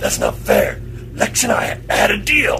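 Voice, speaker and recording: A man in a put-on character voice, at a fairly slow pace, over clear background noise. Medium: audio drama. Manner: gruff, street-tough slang.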